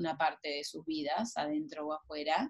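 A woman talks at a moderate pace in an ordinary speaking voice. Her pitch is fairly low. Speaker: writer and former journalist. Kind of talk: interview.

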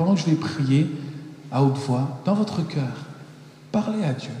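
Noticeable background noise and audible room echo surround a man whose fairly high voice moves at a moderate pace with lively intonation. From France (Paris), American parents. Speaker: preacher. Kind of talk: sermon; prayer.

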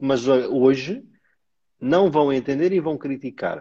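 A man speaks very slowly in a dark, mellow tone with ordinary pitch variation. The background is quiet. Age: 30s. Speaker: live stream host. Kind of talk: casual chat. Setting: live stream.

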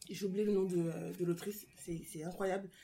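A woman speaks at a very slow pace with a medium pitch. Her tone is dark and mellow, and her intonation is fairly even. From France. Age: 20s. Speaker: guest reader. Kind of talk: casual book discussion.

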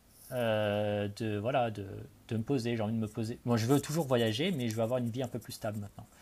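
Using a normal speaking voice, a man keeps a fairly quick tempo and fairly even intonation. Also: medium pitch for a man. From France, Charente (Cognac). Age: 20s. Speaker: expat in Australia. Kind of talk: casual interview.

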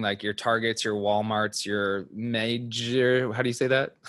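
Against a quiet background, a man talks at a medium pitch in an unremarkable speaking voice. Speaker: podcast co-host. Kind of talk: casual chat. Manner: joking.

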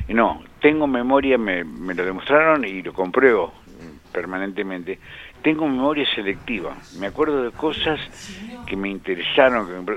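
Lively intonation and big swings in loudness come through over noticeable background noise. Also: man, medium pitch for a man, moderate pace. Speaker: motorsport engineer and commentator. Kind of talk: radio interview.

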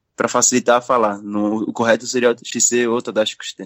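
A man talks at a medium pitch. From Brazil, son of Japanese parents. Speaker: kendo practitioner, podcast co-host. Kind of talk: casual chat.

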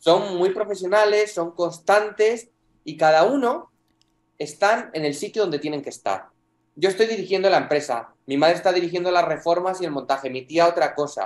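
Male speech, high in pitch, with ordinary variation. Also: moderate pace. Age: 20s. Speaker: property rental entrepreneur. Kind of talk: interview.

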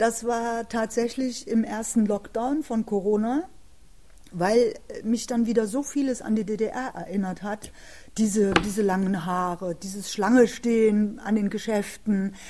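The intonation of this woman stays fairly even. Her voice sits fairly high in pitch. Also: fairly slow pace. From East Germany, Jena, Thuringia. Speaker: author and former political prisoner, contemporary witness. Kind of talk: interview conversation. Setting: city library recording. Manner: halting, with many filler sounds.

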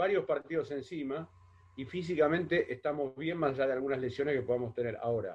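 This man talks at a fairly quick pace in a somewhat breathy voice. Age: 40s. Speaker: football pundit. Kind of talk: casual football analysis chat.

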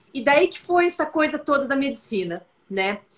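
A woman speaks in a São Paulo accent at a high pitch. Her pace is fairly slow. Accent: paulista. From interior of São Paulo state, Brazil. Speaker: occupational physician. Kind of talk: casual interview. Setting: live stream.

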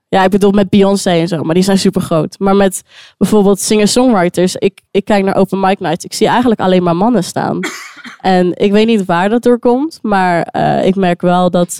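A woman at a medium pitch talks at a moderate pace with fairly even intonation and a dark, mellow tone, in a dry, close sound with no echo. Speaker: singer-songwriter. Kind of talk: casual interview. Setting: live recording in a wine bar.

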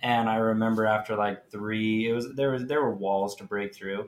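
The pitch moves very little. The pace is moderate. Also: man, fairly low pitch for a man.

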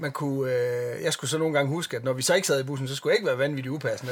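This man's voice sits fairly high in pitch. He speaks at a very fast pace. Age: 40s. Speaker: metal bassist. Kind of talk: casual chat.

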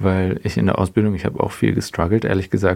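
Very deep and low, a man's voice has a dark, mellow tone and fairly even intonation. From Swabia, near Stuttgart. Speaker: photographer and podcast co-host. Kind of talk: interview, casual chat.

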